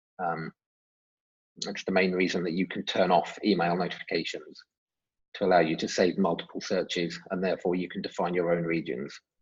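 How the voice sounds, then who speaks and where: With an English accent, a man speaks at a fairly quick pace in a very deep, low pitch, his intonation monotone and flat. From England. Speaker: software development manager. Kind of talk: webinar Q&A. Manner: hesitant with fillers.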